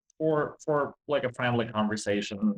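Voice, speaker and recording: The speaker is a man with a non-native accent. He talks at a moderate speed. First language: not English. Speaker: game developer. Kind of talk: interview. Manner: halting.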